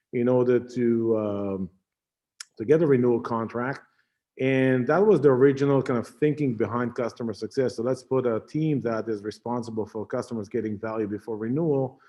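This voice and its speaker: This man has an Israeli accent and a medium pitch. He talks at a fairly quick pace with ordinary pitch variation. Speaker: tech company CEO and founder. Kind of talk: conference talk. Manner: halting, many fillers.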